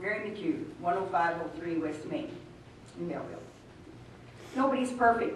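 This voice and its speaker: With audible room echo and noticeable background noise, a woman of medium pitch speaks at a moderate pace with lively intonation. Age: 80s+. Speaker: resident speaking at public comment. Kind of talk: public comment read from notes. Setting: city council meeting. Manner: reading aloud.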